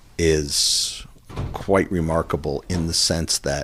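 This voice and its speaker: A man speaks with a very deep, low pitch. Noticeable background noise runs beneath his voice. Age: 60s. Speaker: meditation practitioner, former television freelancer. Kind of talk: podcast interview. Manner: halting, frequent restarts.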